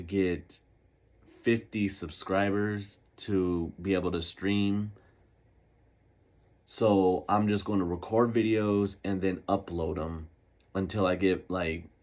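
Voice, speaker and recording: A man talks at a very slow pace in a very deep, low voice with monotone, flat intonation. The recording is very clean with a silent background. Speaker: podcast host. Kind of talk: casual monologue. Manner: halting, self-correcting; casual, laid-back.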